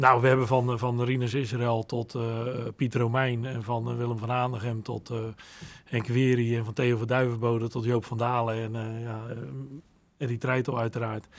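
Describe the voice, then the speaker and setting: Intonation from this man is monotone and flat. He keeps a moderate pace. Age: 50s. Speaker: son of a former footballer; guest. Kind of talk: interview. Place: studio. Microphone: studio mic.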